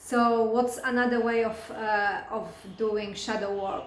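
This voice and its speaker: A woman with a non-native accent and a fairly high pitch speaks at a fairly slow pace, with audible room echo and noticeable background noise. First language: not English. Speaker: spiritual coach and hypnotherapist. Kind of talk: casual talk to camera. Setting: recording alone to camera. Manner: halting, many fillers and restarts.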